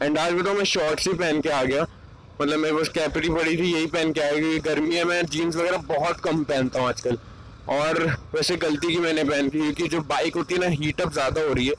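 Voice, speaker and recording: A man speaks at a moderate pace with monotone, flat intonation. The sound is dry with no echo, and there is light background noise. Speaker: moto vlogger. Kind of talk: casual vlog chat. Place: motorbike. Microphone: lapel.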